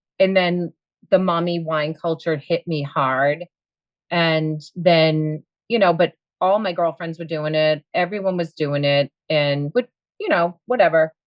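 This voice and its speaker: This woman's voice is fairly low in pitch. She speaks with a Boston accent. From Boston area, US. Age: 50s. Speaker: coaching client, school aide and bartender. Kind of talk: interview. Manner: lively.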